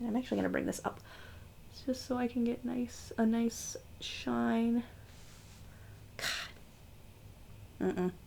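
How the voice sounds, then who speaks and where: A woman mumbling, with long, frequent pauses. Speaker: beauty youtuber. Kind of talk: makeup tutorial. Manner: casual, chatty. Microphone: far from the mic, hard to hear.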